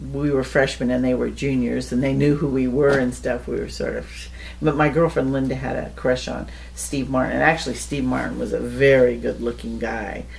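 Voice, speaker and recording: A woman talks at a fairly quick pace with an American accent. Audible room echo and noticeable background noise fill the recording. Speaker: interviewee recounting life story. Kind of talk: casual storytelling interview.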